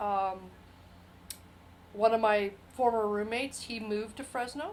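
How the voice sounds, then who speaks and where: An unremarkable speaking voice belongs to a woman at a fairly high pitch, who keeps a moderate pace and fairly even intonation while her loudness swings widely. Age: 60s. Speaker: retired military, oral history interviewee. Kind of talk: oral history interview.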